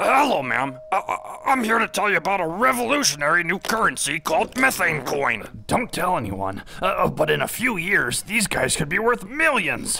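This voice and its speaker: A man does a cartoonish character voice, raised and projected, high-pitched for a man, at a moderate pace with hardly any pauses. Clear background noise runs behind him. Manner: wheedling salesman, then sulking self-pity.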